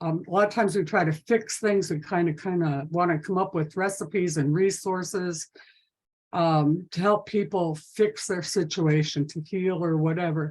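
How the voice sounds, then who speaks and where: With fairly even intonation and a fairly low pitch, a woman talks in an unremarkable speaking voice. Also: moderate pace. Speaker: domestic violence prevention trainer. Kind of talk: webinar presentation.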